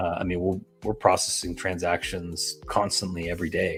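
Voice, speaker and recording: Here a man speaks with an American accent. His voice is very deep and low, and his pace is fairly quick. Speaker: crypto project owner. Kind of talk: live stream interview. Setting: live stream.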